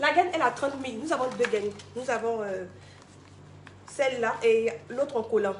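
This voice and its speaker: Over noticeable background noise, a woman with a high pitch and ordinary pitch variation leaves long, frequent pauses. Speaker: product presenter. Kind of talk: sales pitch. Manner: fast.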